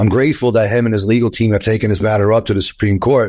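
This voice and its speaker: A man talks very fast in a New York accent. His pitch sits in the medium range. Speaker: attorney. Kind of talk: interview.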